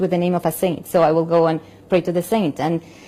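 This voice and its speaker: A woman with a Spanish accent talks at a fairly quick pace in a dark, mellow tone, her pitch fairly low and her intonation monotone and flat. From Colombia. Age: 40s. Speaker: opera singer and convert. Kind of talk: testimony. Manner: halting, frequent repetitions.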